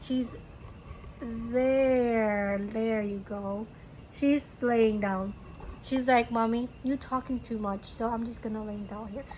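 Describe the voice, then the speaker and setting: Fairly high-pitched and somewhat breathy, a woman speaks at a very slow pace with fairly even intonation. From Philippines. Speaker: crochet podcaster and hat seller. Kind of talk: casual chat. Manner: hesitant, many fillers.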